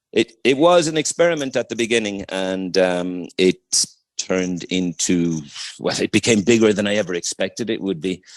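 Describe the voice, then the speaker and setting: A man with an Irish accent, fairly low-pitched, at a moderate pace with ordinary pitch variation, in a dry, close sound with no echo against a quiet background. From Ireland. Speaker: English teacher and music educator. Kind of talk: radio interview.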